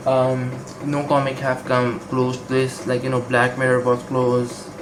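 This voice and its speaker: With audible room echo and noticeable background noise, a man speaks at a medium pitch and a fairly slow pace. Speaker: comic book reviewer. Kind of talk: casual video review. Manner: hesitant, many fillers.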